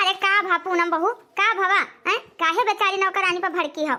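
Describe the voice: A woman's cartoonish character voice at an extremely high pitch, with fairly even intonation, very even loudness and a fairly quick pace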